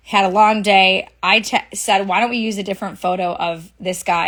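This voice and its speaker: Fairly even intonation marks a woman's medium-pitched voice. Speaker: social media commentator. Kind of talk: live stream commentary. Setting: live stream. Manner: fast.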